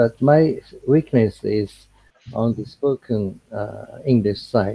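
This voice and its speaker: A man's dark, mellow, somewhat breathy voice at a medium pitch, very slow, with ordinary pitch variation and a dry, close sound with no echo. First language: Japanese. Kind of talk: video call group discussion. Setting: video call. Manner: halting, many fillers.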